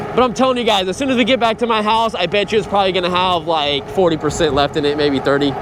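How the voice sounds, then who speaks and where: Over noticeable background noise, a high-pitched man races at a very fast pace with lively intonation, very even loudness and hardly any pauses. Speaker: e-bike reviewer. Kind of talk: vlog while riding. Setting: outdoors on a bike.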